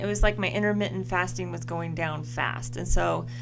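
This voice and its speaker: With music in the background and audible room echo, a woman talks at a moderate pace. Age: 40s. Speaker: podcast co-host. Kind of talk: casual chat.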